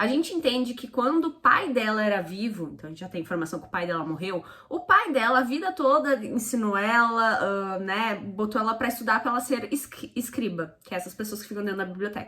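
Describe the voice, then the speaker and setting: Noticeable background noise sits behind a woman speaking at a fairly quick pace and fairly high pitch. Her intonation is lively and her loudness swings widely. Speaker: book reviewer. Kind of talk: casual book review. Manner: fast.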